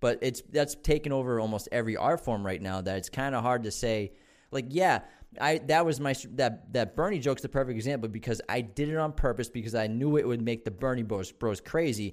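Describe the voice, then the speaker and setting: A man with an American accent talks at a fairly quick pace in a normal speaking voice, medium in pitch with ordinary variation. The recording is very clean, with a silent background. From Boston area, Massachusetts. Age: 30s. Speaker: comedian. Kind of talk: casual chat.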